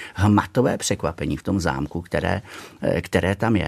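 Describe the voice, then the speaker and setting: A man speaks at a moderate pace. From Czechia, Nymburk area (central Bohemia). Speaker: castle steward, former history teacher. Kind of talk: radio interview. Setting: radio studio.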